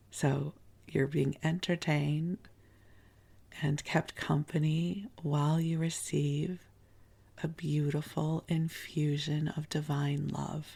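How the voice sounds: The voice is soft-spoken, breathy and croaky, dark and mellow in tone with vocal fry. It moves slowly with little pitch movement. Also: woman, low pitch for a woman.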